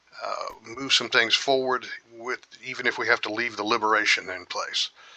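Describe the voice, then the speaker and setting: A man with an American accent speaks at a moderate pace against noticeable background noise. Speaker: gaming youtuber. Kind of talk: let's play commentary. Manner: casual, halting with fillers.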